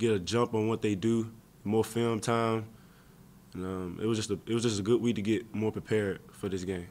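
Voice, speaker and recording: A man talks in a fairly low pitch. His moderate-paced delivery is monotone and flat. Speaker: college football player. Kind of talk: press interview; interview answer. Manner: halting, many fillers. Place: meeting room. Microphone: podium.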